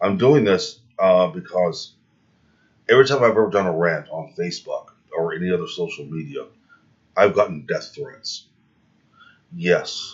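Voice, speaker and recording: A man speaks at a moderate pace. Long pauses come often. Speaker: vlogger and reptile breeder. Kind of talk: casual commentary answering viewer comments. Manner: hesitant with fillers.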